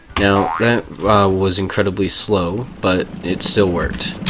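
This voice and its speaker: Noticeable background noise surrounds a man with a very deep, low pitch. He speaks at a fairly slow pace in a monotone, flat intonation. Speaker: speedrunner. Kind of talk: game tutorial narration.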